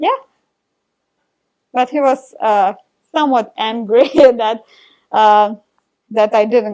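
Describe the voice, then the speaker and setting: A woman talks at a very slow pace in a fairly high pitch. Her pitch varies in an ordinary way. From Ukraine. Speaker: amateur marathon runner. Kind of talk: interview.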